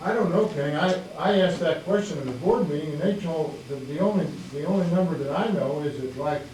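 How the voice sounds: With audible room echo, a man speaks at a fairly quick pace in a fairly high pitch, his tone slightly mellow and his pitch variation ordinary.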